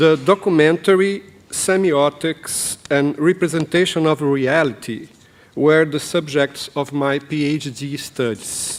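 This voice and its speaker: A man speaks in a Brazilian Portuguese accent at a fairly high pitch. Noticeable background noise can be heard. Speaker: professor and documentary filmmaker. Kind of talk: conference presentation. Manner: halting, many fillers.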